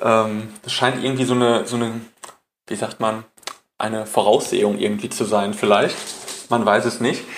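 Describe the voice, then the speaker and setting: Here a man speaks in a normal speaking voice. He keeps a moderate pace with ordinary pitch variation. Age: 20s. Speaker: dog trainer. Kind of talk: interview.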